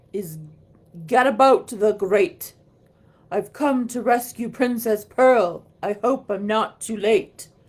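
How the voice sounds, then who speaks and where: A woman's put-on character voice, fairly high in pitch, fairly slow, with ordinary pitch variation. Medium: read story.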